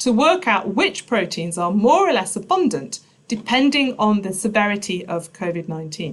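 A somewhat breathy woman's voice with lively intonation at a moderate pace. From Nottinghamshire, England. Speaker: biochemistry professor; professor giving a talk. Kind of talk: public science lecture. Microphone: webcam.

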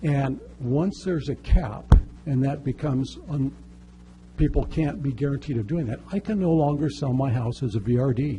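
A man of medium pitch speaks at a moderate pace with ordinary pitch variation against noticeable background noise. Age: 60s. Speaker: public commenter at city council. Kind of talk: public testimony.

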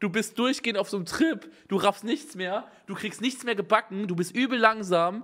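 Against a quiet background, a man talks at a moderate pace in an animated tone with lively intonation. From Germany, not Bavaria. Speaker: streamer reacting to videos. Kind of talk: casual live-stream reaction commentary. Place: home room. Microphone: studio mic.

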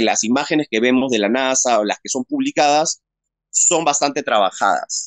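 With a Peruvian accent and lively intonation, the speaker goes at a fairly slow pace in a dry sound with no echo and a quiet background. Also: man. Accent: Peruvian Spanish (Lima). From Peru, Lima. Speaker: interview guest. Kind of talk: personal testimony in an interview. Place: home room. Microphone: phone near.

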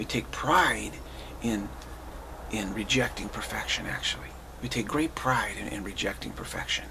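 With light background noise behind him, a man speaks at a moderate pace. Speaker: spiritual teacher. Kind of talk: spiritual talk. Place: home room. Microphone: webcam.

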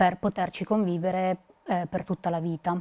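A woman's voice has a dark, mellow tone at medium pitch. She keeps a moderate pace. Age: 20s. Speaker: psychologist, patient association board member. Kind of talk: prepared talk to camera; testimony to camera. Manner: hesitant, many fillers. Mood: calm, earnest. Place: studio. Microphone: lapel.

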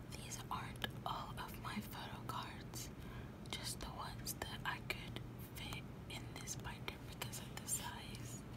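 The speech moves at a fairly slow pace against loud background noise. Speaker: ASMR creator. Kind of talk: ASMR show-and-tell. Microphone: phone near.

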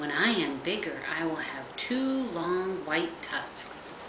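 A woman speaks at a very slow pace with very wide pitch swings. Noticeable background noise can be heard. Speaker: grandmother reading to grandchildren. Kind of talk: bedtime story reading aloud to young children. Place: home room. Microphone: webcam.

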